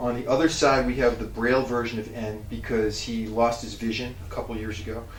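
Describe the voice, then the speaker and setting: A man talks at a fairly quick pace. Noticeable background noise and audible room echo are in the recording. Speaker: strength coach. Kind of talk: casual gym tutorial. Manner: casual, filler-heavy.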